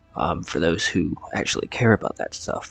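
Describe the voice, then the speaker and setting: Noticeable background noise surrounds a man whose sound is dry and close with no echo. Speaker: gaming YouTuber. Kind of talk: gameplay commentary. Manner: quiet, subdued; hesitant, many fillers.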